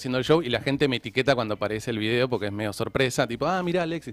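At a very fast pace, a man speaks. His pitch variation is ordinary. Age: 30s. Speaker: illustrator and animator; guest. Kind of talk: casual chat. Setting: studio. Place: studio. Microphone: studio mic.

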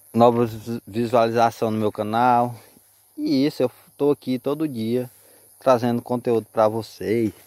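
Long, frequent pauses break up a man's fairly slow, monotone and flat speech, recorded with a dry sound and no echo. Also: medium pitch for a man. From Brazil. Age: 20s. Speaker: motorcycle vlogger; motorbike vlogger. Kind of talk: casual vlog monologue. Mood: motivational, defiant. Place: open country. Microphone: phone near.

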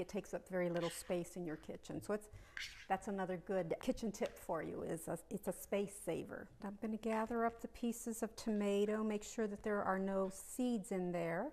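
Keeping a moderate pace, a woman talks with fairly even intonation. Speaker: home cooking host. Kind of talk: tutorial. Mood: warm, chatty. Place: kitchen.

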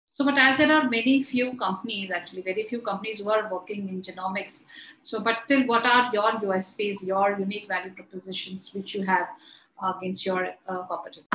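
Speech at a fairly quick pace with ordinary pitch variation, carrying audible room echo and light background noise. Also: woman. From India. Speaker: health channel host. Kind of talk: scripted introduction; interview. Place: office.

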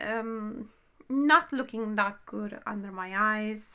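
Speaking very slowly with fairly even intonation, a woman with a non-native accent uses a fairly high pitch. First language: not English. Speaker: beauty vlogger. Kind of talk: casual monologue, product review. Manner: halting, many fillers; not fluent, pauses to think.

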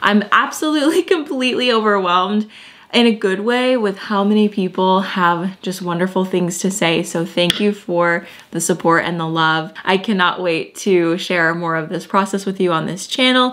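The voice moves at a moderate pace with ordinary pitch variation against a quiet background. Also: woman. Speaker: sewing vlogger. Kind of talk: casual vlog chat. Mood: excited, laughing often. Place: home room.

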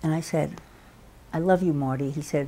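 A woman's very deep, low voice with vocal fry, a dark, mellow tone and fairly even intonation, over light background noise. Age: 80s+. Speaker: children's book author. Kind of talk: interview storytelling. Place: home room.

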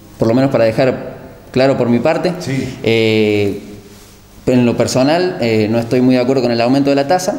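A man with a medium-pitched voice and lively intonation speaks at a fairly slow pace, with audible echo from the room. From Argentina, Los Cocos, Córdoba; Córdoba, Argentina. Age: 30s. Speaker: town councillor; local council member. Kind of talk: interview. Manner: halting with repetitions. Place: office.

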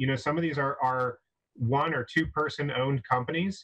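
A plain, everyday voice with an American accent moves at a moderate pace with ordinary pitch variation against a quiet background. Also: man. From USA. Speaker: live music industry professional. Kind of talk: online panel discussion. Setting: video call. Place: home room. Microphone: video call.

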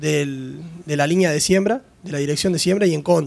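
A man speaks with fairly even intonation. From Argentina, Santa Fe (Rafaela area). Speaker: audience member, farmer. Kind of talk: audience question and comment. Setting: conference workshop with audience. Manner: halting. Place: hall. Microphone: podium.

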